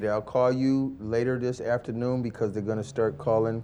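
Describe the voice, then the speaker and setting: A man's dark, mellow voice at medium pitch, with ordinary pitch variation and a moderate pace. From US Midwest, St. Louis, Missouri. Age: 60s. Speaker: formerly incarcerated shoe shiner. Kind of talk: casual chat.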